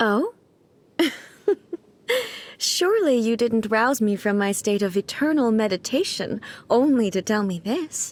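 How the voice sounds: A woman performs a put-on character voice at a fairly high pitch. She speaks slowly with big pitch swings.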